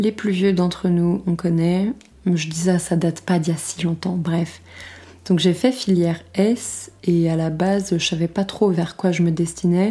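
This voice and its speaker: In a very clean recording with a silent background, a woman speaks in a fairly low pitch with a dark, mellow tone and fairly even intonation. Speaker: podcaster. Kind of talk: casual monologue. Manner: stammering.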